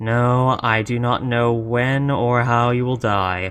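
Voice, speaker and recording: A man puts on a character voice at a medium pitch. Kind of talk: audio roleplay. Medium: solo performance. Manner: stern, dry, grudgingly patient.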